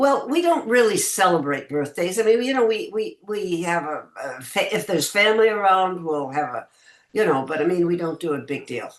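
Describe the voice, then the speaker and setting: A woman at a medium pitch talks at a moderate pace, her voice making very wide pitch swings. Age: 80s+. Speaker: actress. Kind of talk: interview answer.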